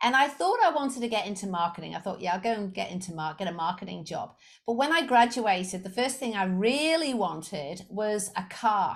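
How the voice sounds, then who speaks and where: A woman with a slight Liverpool accent speaks at a fairly quick pace with lively intonation and hardly any pauses. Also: medium pitch for a woman. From England, Liverpool. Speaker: sales coach. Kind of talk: podcast interview.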